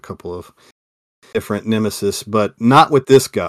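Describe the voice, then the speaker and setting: A plain, everyday voice from a man, fairly low in pitch and fairly quick, dry and close with no echo, on a very clean recording with a silent background. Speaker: podcast host. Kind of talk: casual chat.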